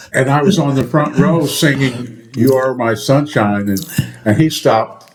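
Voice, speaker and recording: Noticeable background noise sits under a man talking at a moderate pace, medium pitch, with ordinary pitch variation. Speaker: podcast co-host. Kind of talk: casual chat. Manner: loud; animated.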